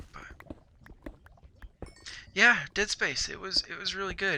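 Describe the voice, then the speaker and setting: A man whispering at a fairly slow pace. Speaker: gaming youtuber. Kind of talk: gameplay commentary. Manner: quiet; casual, hesitant with repetitions.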